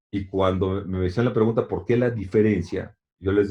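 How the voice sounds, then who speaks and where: At a fairly slow pace, a man speaks in a fairly low, somewhat breathy voice with fairly even intonation. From Mexico. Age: 60s. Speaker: long-distance swimmer and author. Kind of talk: interview. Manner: halting, many repetitions and fillers.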